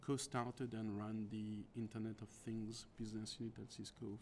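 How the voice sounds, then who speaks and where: A man's medium-pitched voice with a French accent, at a moderate pace. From France. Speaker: tech executive. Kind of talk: interview.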